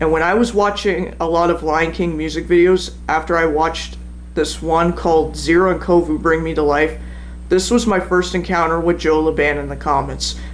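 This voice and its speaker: A man at a moderate pace, with audible room echo. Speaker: YouTuber telling personal story. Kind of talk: personal account read from a script. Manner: halting, stumbles over words.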